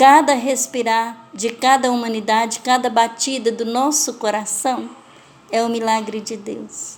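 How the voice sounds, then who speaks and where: The pace is fairly slow. The intonation stays flat and monotone. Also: woman, fairly high pitch for a woman. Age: 60s. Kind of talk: testimony.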